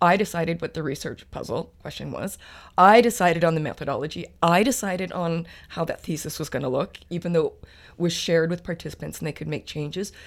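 With a Canadian accent, a woman talks at a very fast pace and a fairly low pitch, with ordinary pitch variation, in a very clean recording with a silent background. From Alberta, Canada. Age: 50s. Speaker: PhD student in sociology. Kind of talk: interview.

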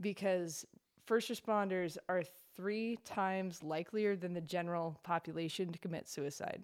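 A woman at a medium pitch with an ordinary speaking voice, a moderate pace and fairly even intonation, on a very clean recording with a silent background. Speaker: author and victim's advocate. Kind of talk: casual chat.

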